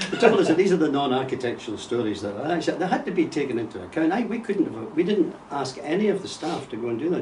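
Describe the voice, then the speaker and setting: Very fast speech in a Scottish accent with very wide pitch swings and hardly any pauses, plus audible room echo and noticeable background noise. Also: man. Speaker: retired architect. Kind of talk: interview conversation.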